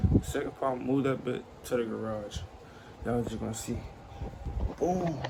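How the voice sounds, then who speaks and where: A man speaks quietly at a fairly quick pace over noticeable background noise. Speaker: vlogger. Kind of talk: casual vlog talk. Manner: quiet, keeping voice down.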